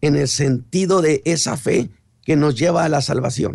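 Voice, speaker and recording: With a Mexican accent, a man talks at a very slow pace in a fairly high pitch with ordinary variation and vocal fry. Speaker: pastor. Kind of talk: sermon.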